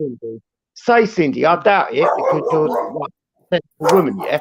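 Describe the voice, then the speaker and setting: The recording has a dry, close sound with no echo. A man speaks in an animated tone at a fairly quick pace. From Britain. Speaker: live stream guest. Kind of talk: casual chat.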